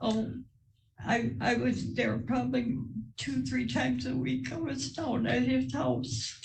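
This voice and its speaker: The speech is very slow and somewhat breathy, with ordinary pitch variation. Loudness stays very even throughout. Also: woman, very deep, low pitch for a woman. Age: old. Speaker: widow testifying in court. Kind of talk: courtroom testimony. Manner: soft-spoken.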